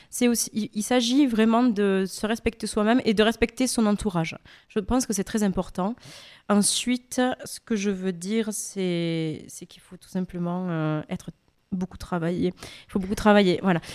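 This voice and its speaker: A woman with an unremarkable speaking voice talks at a moderate pace in a medium pitch with ordinary pitch variation. Her loudness swings widely on a very clean recording with a silent background. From France. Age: young. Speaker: opera singer. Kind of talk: interview.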